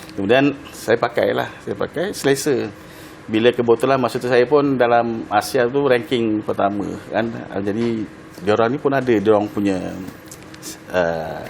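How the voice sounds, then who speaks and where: Noticeable background noise sits behind a man's voice. His pitch is medium, with ordinary variation. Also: moderate pace. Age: 60s. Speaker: retired track cyclist. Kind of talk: TV interview. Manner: halting.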